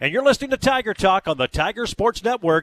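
The voice belongs to a man with very wide pitch swings. The sound is dry and close, with no echo. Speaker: radio sports host. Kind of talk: live radio show hosting and interviewing. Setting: live at a restaurant.

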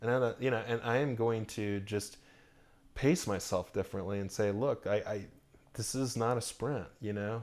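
An ordinary speaking voice, a man with an American accent at medium pitch and moderate pace, fairly even intonation, in a very clean recording with a silent background. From Orlando, Florida. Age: 40s. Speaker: pastor. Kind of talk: casual interview. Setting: at home.

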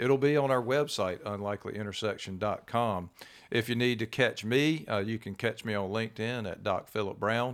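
Over a silent background in a very clean recording, a man with medium pitch and an unremarkable speaking voice talks at a moderate pace with ordinary pitch variation. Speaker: podcast host. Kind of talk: interview conversation.

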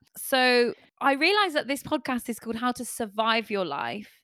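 A woman speaks at high pitch with a bright, sharp tone and a moderate pace. The recording is very clean, dry and close, with no echo and a silent background. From Torquay, Devon, England. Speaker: podcast co-host. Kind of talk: casual comedic chat.

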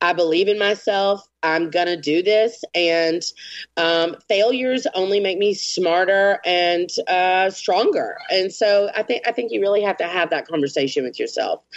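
With ordinary rises and falls in pitch, the woman delivers her words at a moderate speed. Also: medium pitch for a woman. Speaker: artist. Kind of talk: pep talk, motivational and profane. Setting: remote call. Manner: animated, emphatic, profane.

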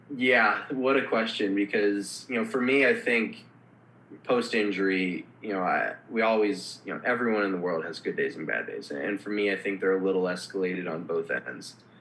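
Speaking with an American accent, a man uses a normal speaking voice. His pitch is fairly low and his pace moderate. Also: ordinary pitch variation. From Minnesota, Minneapolis. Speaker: former hockey player with spinal cord injury. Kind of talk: casual interview.

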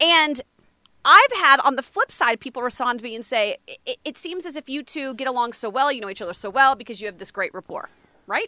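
Raised and projected, a woman's high-pitched voice has a bright, sharp tone, lively intonation, big swings in loudness and a fairly quick pace, with a dry, close sound and no echo. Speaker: meteorologist. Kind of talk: casual banter. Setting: studio audio booth.

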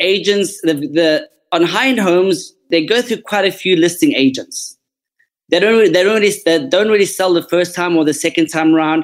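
A man with a South African accent speaks with a high pitch. His pace is moderate and his loudness very even. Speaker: real estate agent. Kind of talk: interview, casual professional talk. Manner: sincere.

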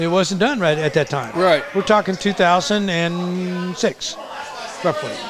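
With crowd noise in the background, a man talks at a very slow pace in a high pitch with ordinary pitch variation. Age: 60s. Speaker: muralist artist. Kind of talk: storytelling in casual conversation.

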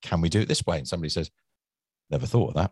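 Over a quiet background, a man with a very deep, low pitch and vocal fry talks with ordinary pitch variation in a dry, close recording with no echo.

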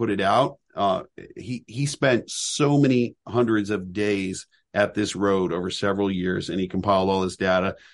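Against a quiet background, a man with an ordinary speaking voice talks at a fairly slow pace in a fairly low pitch. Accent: American. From Southern California. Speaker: reptile sanctuary founder and educator. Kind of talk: casual interview.

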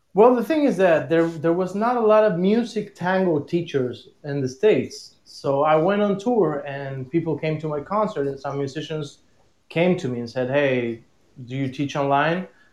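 With a Spanish accent, a man with a fairly high voice talks at a moderate pace using lively intonation. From Argentina. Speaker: tango musician. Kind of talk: casual interview. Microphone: echo.

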